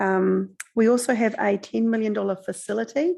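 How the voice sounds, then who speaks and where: The recording is very clean with a silent background, and the speaker has a New Zealand accent. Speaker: council finance officer. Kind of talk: council meeting briefing. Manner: fast.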